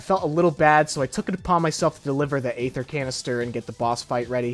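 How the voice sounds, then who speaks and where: Music plays in the background. A man talks over it at a very fast pace. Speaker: gaming YouTuber. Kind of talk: gameplay commentary voice-over. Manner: casual, profane.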